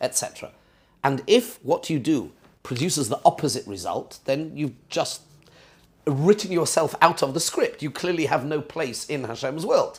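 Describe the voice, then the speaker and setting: A plain, everyday voice at a fairly quick pace. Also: man. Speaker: rabbi teaching a seminar class. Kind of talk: lecture with class discussion.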